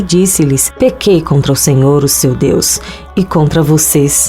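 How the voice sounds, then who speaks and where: Over music in the background, a woman speaks at a fairly slow pace with lively intonation. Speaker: voice-over narrator. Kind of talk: Bible reading, religious narration.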